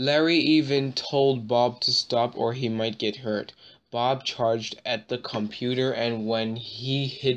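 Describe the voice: Fairly even intonation marks this plain reading aloud.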